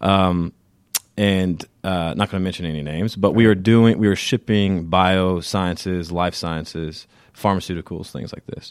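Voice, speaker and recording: A man with an American accent and a very deep, low pitch, his intonation fairly even, with big swings in loudness. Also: moderate pace. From US South, Savannah area of Georgia. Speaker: sales executive of an education company. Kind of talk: podcast interview. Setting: studio.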